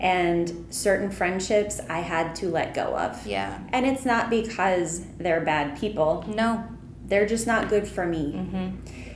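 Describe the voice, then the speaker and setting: Very slow speech with ordinary pitch variation and audible room echo. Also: woman, medium pitch for a woman. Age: 40s. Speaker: coworker guest. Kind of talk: casual chat.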